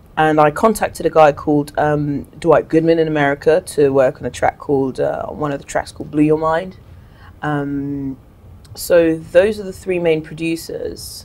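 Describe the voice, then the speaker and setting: Her intonation stays fairly even at a moderate pace. This woman's pitch is very deep and low. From Cameroon. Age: 30s. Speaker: singer; guest. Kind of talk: interview. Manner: casual. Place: studio.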